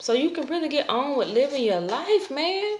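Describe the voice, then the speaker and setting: A woman at a fairly slow pace, with lively intonation. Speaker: tarot reader. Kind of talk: tarot reading to camera.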